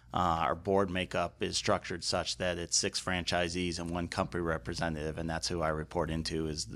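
With an American accent and vocal fry, the speaker talks at a fairly quick pace with hardly any pauses. The intonation is fairly even, and the recording is very clean with a silent background. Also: man. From Chicago, US Midwest. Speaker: supply chain cooperative president. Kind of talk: interview. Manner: casual, with frequent fillers.

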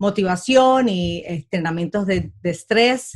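Speaking fairly slowly, a woman uses a medium pitch with ordinary pitch variation. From Puerto Rico. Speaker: comedian and aerospace engineer. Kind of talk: interview.

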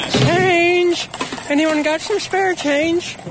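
Clear background noise runs under the recording. The put-on character voice is extremely high in pitch. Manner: pleading.

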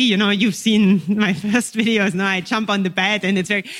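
The delivery is monotone, with flat intonation and a German accent. Noticeable background noise runs underneath. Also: woman. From eastern Germany (Dresden). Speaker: language teacher and YouTuber. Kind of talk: interview conversation.

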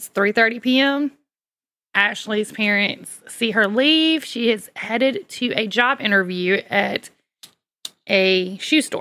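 Speaking very slowly in a Southern US accent, a woman uses a fairly high pitch with ordinary pitch variation. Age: 40s. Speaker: true crime podcast co-host. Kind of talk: true crime storytelling.

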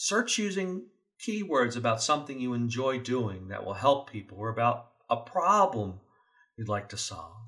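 A man with a bright, sharp tone speaks with very wide pitch swings and big swings in loudness. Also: medium pitch for a man, moderate pace. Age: 50s. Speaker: safety podcast host. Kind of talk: scripted monologue.

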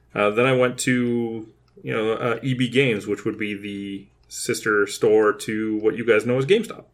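A man with a Canadian accent and a normal speaking voice, medium in pitch, with fairly even intonation at a moderate pace. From Kitchener-Waterloo, Ontario, Canada. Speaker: podcast co-host, video game enthusiast. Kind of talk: casual chat.

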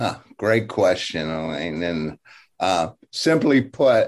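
Speaking with an American accent, a man sounds energetic, his pitch swinging very widely. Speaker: business coach and motivational speaker. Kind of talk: interview.

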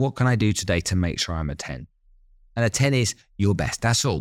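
A man's fairly low voice with lively intonation at a moderate pace, dry and close with no echo, on a very clean recording with a silent background, an unremarkable speaking voice. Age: 50s. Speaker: business strategist and entrepreneur. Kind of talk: interview.

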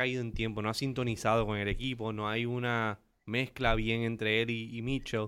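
This man has an ordinary speaking voice, medium in pitch, and talks at a fairly quick pace. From Aguadilla, Puerto Rico. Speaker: entrepreneur and writer. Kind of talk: casual sports chat.

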